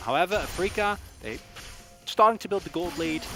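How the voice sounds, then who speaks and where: A man with a non-native accent talks at a fairly quick pace over music in the background. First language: not English. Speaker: esports caster. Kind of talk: live commentary.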